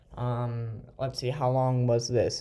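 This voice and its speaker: A somewhat breathy man's voice with an American accent. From United States. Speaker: gaming video creator. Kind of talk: gameplay commentary. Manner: hesitant, many fillers.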